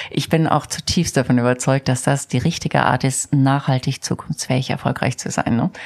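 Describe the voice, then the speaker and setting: This woman has a very deep, low pitch. She speaks at a moderate pace. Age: 50s. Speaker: company CEO. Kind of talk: interview. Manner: animated.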